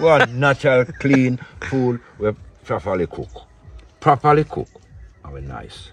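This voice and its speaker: Man with a Jamaican accent at a fairly slow pace, long frequent pauses and big swings in loudness, music in the background. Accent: Jamaican Patois. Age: 60s. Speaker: Rasta cook. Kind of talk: casual chat while cooking. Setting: outdoors by wood fire.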